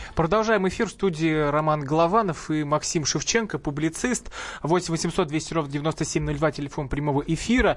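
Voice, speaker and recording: This man has an ordinary speaking voice, fairly high in pitch with ordinary variation, delivered at a moderate pace. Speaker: radio host. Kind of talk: radio talk show hosting. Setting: radio studio.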